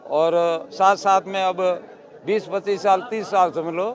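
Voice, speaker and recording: The intonation stays fairly even. Noticeable background noise is present throughout. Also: man. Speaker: temple caretaker. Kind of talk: interview.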